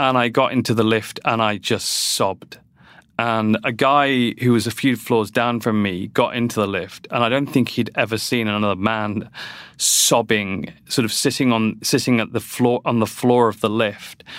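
A man with a British accent and a medium pitch, in a very clean recording with a silent background. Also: fairly even intonation, moderate pace. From UK. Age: 40s. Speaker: nonprofit CEO. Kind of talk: interview.

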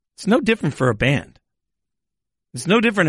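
A man speaks in a bright, sharp, animated tone, his pitch swinging very widely against a quiet background. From Las Vegas, US. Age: 40s. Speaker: podcast host. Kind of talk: interview; podcast outro.

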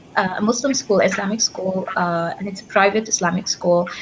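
A woman speaks at a medium pitch. Noticeable background noise can be heard behind her. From Egypt. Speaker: PhD student. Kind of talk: panel discussion. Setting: video call.

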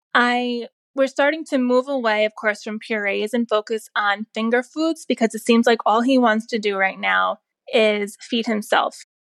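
In a dry, close sound with no echo, a woman with an ordinary speaking voice talks at a fairly slow pace, her fairly high pitch showing ordinary variation. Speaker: mother. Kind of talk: voice message.

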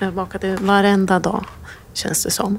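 A woman's medium-pitched voice at a moderate pace. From Sweden, Jämtland (near Östersund). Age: 40s. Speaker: bakery owner. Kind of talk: interview. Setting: bakery.

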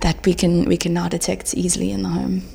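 A woman talks at a fairly quick pace and a fairly low pitch. Background noise is noticeable. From South Africa. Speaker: health tech startup founder. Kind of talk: interview. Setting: live event. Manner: animated.

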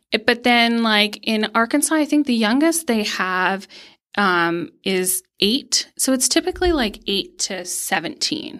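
A woman with an American accent, fairly high-pitched with a bright, sharp tone, very wide pitch swings, and a fairly slow pace, in a very clean recording with a silent background. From Pennsylvania. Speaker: nonprofit youth mentor and fundraiser. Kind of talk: casual interview. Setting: studio.

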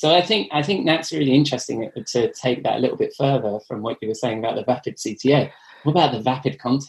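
In an English accent, a man talks very fast at a medium pitch with ordinary variation and a somewhat breathy sound. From England. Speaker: podcast host and editor. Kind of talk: casual interview.

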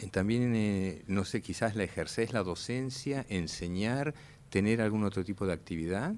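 With a normal speaking voice, a man talks at a fairly slow pace and fairly low pitch, with ordinary pitch variation and very even loudness, in a very clean recording against a silent background. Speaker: radio host. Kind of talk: radio interview. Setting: radio studio.

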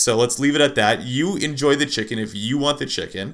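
A man speaks at a fairly quick pace with a bright, sharp tone. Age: 30s. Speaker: podcast host and plant-based nutritionist. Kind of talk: casual solo monologue. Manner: halting, many fillers.

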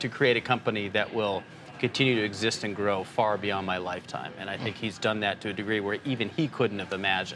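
The pace is fairly quick, with fairly even intonation. Noticeable background noise is present. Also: man. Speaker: financial journalist. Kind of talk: casual interview.

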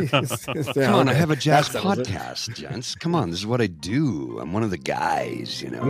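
Over background music, a man talks at a fairly slow pace with hardly any pauses. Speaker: podcast guest, jazz podcast host. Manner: relaxed, friendly.

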